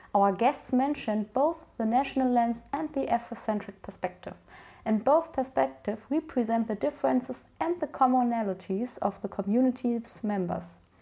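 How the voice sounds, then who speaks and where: A woman's fairly high voice with a German accent, ordinary pitch variation and a moderate pace. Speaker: podcast host. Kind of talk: interview.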